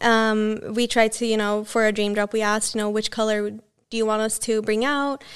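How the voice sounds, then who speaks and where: At a moderate pace and with hardly any pauses, a woman speaks in a fairly high, monotone, flat voice. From Sweden, Borås. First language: Swedish. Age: 20s. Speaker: fashion entrepreneur. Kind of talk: interview. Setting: office.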